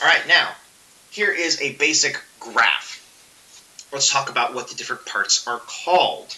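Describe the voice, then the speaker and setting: Noticeable background noise accompanies a man speaking fairly slowly. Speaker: physics teacher. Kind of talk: lecture. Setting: recorded video lesson. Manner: casual.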